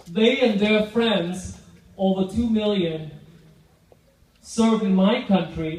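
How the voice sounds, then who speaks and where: The speech shows ordinary pitch variation, and audible room echo can be heard. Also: man. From Vietnam. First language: Vietnamese. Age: 50s. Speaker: public speaker.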